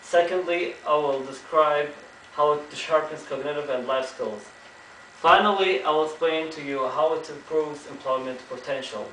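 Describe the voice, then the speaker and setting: There is audible room echo and noticeable background noise. A man speaks with fairly even intonation. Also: fairly high pitch for a man, moderate pace. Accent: Arabic. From Kuwait. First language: Arabic. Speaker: student giving a class speech. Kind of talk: prepared speech. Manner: halting, with self-corrections.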